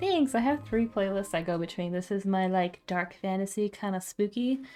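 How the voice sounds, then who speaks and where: With music in the background, a soft-spoken woman talks at a moderate pace. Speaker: livestreaming watercolor artist. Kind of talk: casual live-stream chat while painting. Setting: home live-stream with webcam.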